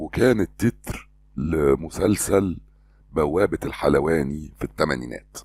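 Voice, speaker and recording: With an Egyptian accent, a man speaks at a very slow pace in a very deep, low pitch with vocal fry and lively intonation. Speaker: voice-over artist and trainer. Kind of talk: historical fact narration.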